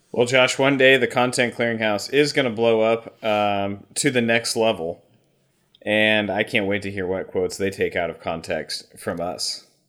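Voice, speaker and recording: Here is a man with an unremarkable speaking voice. He keeps a medium pitch, ordinary pitch variation and a moderate pace. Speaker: podcast host. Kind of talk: casual chat. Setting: video call.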